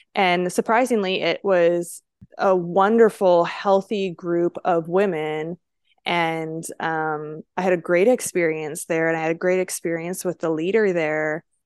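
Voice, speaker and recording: In a Canadian accent, a woman talks slowly-ish, at a fairly slow pace, in an unremarkable speaking voice with fairly low pitch and fairly even intonation. The sound is dry and close with no echo, over a quiet background. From Langley, British Columbia, Canada. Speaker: podcast co-host. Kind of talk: casual chat.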